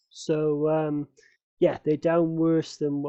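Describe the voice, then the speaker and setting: The speaker has a British accent. The words come out as a mumble. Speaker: amateur investor vlogger. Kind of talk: casual vlog. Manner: mumbling; hesitant, many fillers.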